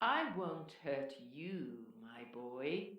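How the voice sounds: This is a put-on character voice at a low-to-middle pitch. Hissing and slight echo can be heard.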